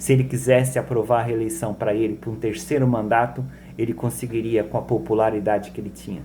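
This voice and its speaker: Speaking at a fairly quick pace, a man with a medium pitch, ordinary pitch variation, vocal fry and a dark, mellow tone. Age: 60s. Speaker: political commentator. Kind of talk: monologue political commentary.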